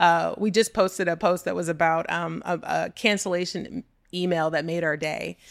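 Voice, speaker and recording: A woman with a Texan accent speaks at a fairly low pitch, a moderate pace, and fairly even intonation, with vocal fry. The recording is very clean, with a silent background. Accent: Texan American. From Texas (Texas City, Gulf Coast). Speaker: entrepreneur and business consultant. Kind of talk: casual interview chat.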